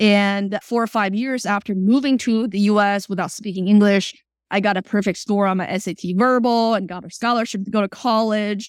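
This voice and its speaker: A woman's fairly quick speech with a Chinese accent, fairly even intonation and hardly any pauses. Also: medium pitch for a woman, very clean recording, silent background. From China, then South Florida from age 12. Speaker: startup CEO. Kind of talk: interview.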